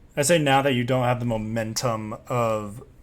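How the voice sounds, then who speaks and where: Audible room echo surrounds a man speaking at a medium pitch. His pace is fairly slow, with ordinary pitch variation. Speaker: dungeon master. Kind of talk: tabletop game session.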